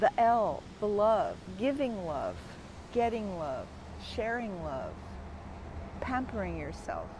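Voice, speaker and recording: A woman speaks at a very slow pace with long, frequent pauses. Audible room echo surrounds her voice. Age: 60s. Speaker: wellness course creator. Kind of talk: personal explanation monologue. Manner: casual, somewhat halting.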